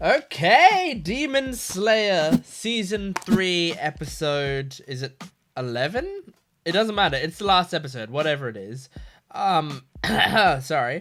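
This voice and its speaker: In an Australian accent, a man speaks at a fairly slow pace with a high pitch. His pitch swings very widely. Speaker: anime reactor. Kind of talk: casual talk to camera.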